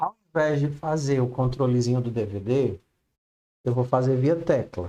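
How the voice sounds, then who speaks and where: A man speaks with a dark, mellow tone. His pitch is medium, with ordinary variation. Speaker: programming teacher. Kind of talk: online class. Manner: slow.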